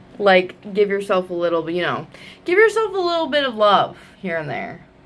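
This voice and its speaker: Over noticeable background noise, a woman speaks in an animated tone with very wide pitch swings. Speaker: book vlogger. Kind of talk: casual vlog talk to camera.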